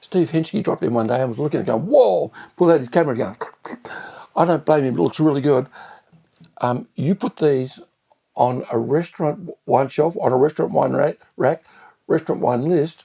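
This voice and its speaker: A man with a fairly high pitch and vocal fry talks at a moderate pace with lively intonation. He leaves long, frequent pauses, and the sound is dry and close with no echo. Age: 70s. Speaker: restaurateur. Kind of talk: wine tasting review.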